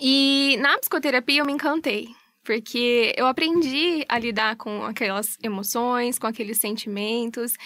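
A bright, sharp tone at a fairly slow pace, with ordinary pitch variation and a dry sound with no echo. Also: woman, high pitch for a woman. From Brazil, Londrina (Paraná); Paraná, Brazil. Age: 30s. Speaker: psychologist; guest. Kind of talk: radio interview. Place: studio.

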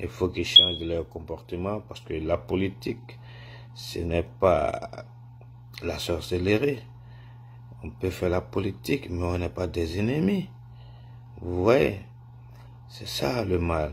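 A man with a very deep, low pitch, a bright, sharp tone, and vocal fry speaks with lively intonation, big swings in loudness, and long, frequent pauses over light background noise. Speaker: political commentator. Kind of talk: opinion vlog message. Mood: indignant, disappointed. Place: home room. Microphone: phone near.

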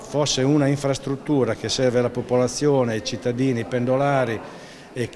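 There is noticeable background noise behind the man speaking. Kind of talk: interview answer. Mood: critical, measured. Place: hall.

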